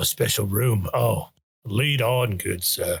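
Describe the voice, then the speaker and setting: Using a put-on character voice, a man speaks at a fairly slow pace in a raspy, medium-pitched tone. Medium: actual play. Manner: rambling, repetitive.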